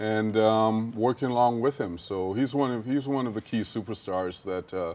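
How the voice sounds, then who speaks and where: The speaker has a Jamaican accent and talks at a moderate pace with ordinary pitch variation against a quiet background. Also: man, medium pitch for a man. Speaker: business executive. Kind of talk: TV interview.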